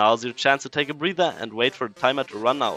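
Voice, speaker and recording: Bright and sharp in tone, a man speaks very fast with a German accent. The sound is dry and close with no echo, over a quiet background. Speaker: gaming guide creator. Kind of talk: video game guide narration. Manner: playful, energetic.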